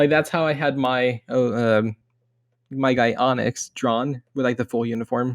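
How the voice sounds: Here a man talks at medium pitch and a fairly slow pace. His intonation stays fairly even.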